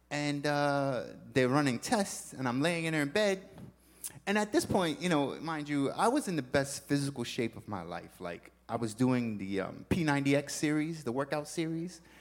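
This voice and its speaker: At a moderate pace, a man talks with lively intonation in a plain, everyday voice pitched fairly high. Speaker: church member giving testimony. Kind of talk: testimony in a church service. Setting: church stage with audience.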